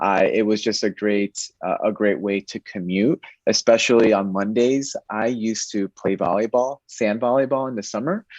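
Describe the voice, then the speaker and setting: A man with an unremarkable speaking voice, medium pitch and ordinary pitch variation, at a moderate pace with hardly any pauses, in a dry, close sound with no echo over a quiet background. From Connecticut. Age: 30s. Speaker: bank diversity manager and cyclist. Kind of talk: interview conversation.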